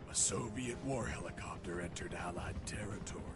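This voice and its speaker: A man performs a cartoonish character voice at a fairly quick pace against loud background noise. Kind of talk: 1980s action-movie parody. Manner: deadpan, sarcastic.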